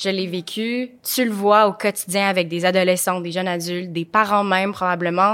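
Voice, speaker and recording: An ordinary speaking voice comes from a woman at a medium pitch and moderate pace, with fairly even intonation. The recording is very clean with a silent background. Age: 20s. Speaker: podcast host. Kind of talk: interview. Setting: studio.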